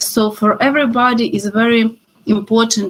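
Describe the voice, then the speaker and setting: A woman speaks with a Ukrainian accent. Her voice is somewhat breathy and her intonation fairly even. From Ukraine. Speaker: professor. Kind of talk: lecture. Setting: video call. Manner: halting.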